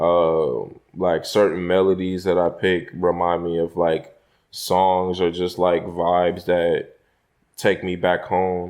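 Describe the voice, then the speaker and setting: Over a quiet background, someone talks at a very slow pace in a slight Southern US accent, their intonation monotone and flat. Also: man, very deep, low pitch for a man. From Houston, Texas. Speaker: rapper. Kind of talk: interview. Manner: hesitant, filler-heavy.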